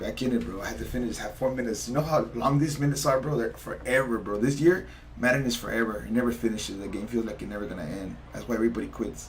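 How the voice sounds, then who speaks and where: Very fast and with hardly any pauses, a man speaks in an animated tone at a medium pitch with ordinary pitch variation, amid noticeable background noise and audible room echo. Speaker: gamer streaming competitive play. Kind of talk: live gameplay commentary. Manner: whispering.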